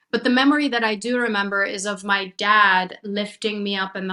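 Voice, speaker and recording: A woman with a Persian accent speaks at a medium pitch and moderate pace in a bright, sharp tone. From Iran, moved to US at 16. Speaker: chiropractor and mindset coach. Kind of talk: podcast interview, personal story.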